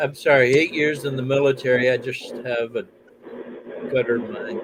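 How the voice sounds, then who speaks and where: Spoken at a moderate pace with an American accent, the voice comes through over noticeable background noise. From US South, Alabama. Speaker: military veteran. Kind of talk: casual chat.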